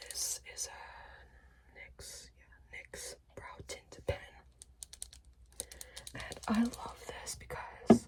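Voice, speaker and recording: Whispered words come at a very slow pace, broken by long, frequent pauses. Behind them is noticeable background noise. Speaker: ASMR creator. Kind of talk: ASMR makeup routine talk.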